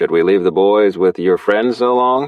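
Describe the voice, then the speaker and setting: A man's put-on character voice, fairly low in pitch, with very even loudness. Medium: read story.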